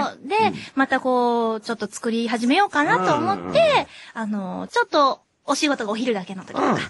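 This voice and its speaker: The delivery has lively intonation at a moderate pace, with big swings in loudness. The sound is dry with no echo, and the background is quiet. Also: woman, high pitch for a woman. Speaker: voice actor. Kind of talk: casual radio talk. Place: studio.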